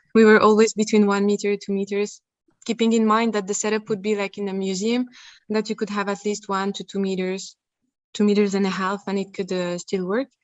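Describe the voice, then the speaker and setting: A woman with a non-native accent, medium pitch, monotone, flat intonation and a fairly quick pace. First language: not English. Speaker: researcher presenting at a conference. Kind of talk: conference Q&A answer. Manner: halting, many repeated words.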